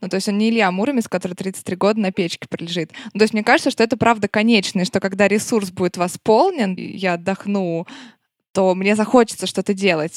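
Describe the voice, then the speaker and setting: It is an unremarkable speaking voice: a woman at a medium pitch with fairly even intonation and a fairly quick pace. The recording is very clean with a silent background and a dry, close sound with no echo. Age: 20s. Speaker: podcast host. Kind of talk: casual chat.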